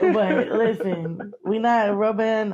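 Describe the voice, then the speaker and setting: This woman speaks with a Southern US accent. Her pitch is medium and her intonation fairly even. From western North Carolina. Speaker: interviewee. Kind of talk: interview. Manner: casual.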